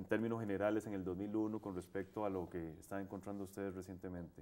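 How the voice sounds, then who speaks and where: In a dark, mellow tone, a man talks at a fairly quick pace with fairly low pitch and fairly even intonation. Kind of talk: interview. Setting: studio.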